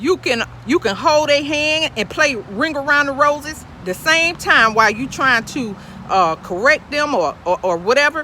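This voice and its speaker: Over noticeable background noise, a woman with a high pitch uses a raised, projected voice, an animated tone and very wide pitch swings. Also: moderate pace. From US, urban projects. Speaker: podcast host giving spiritual advice. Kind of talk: casual monologue, preachy. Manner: animated, repetitive fillers.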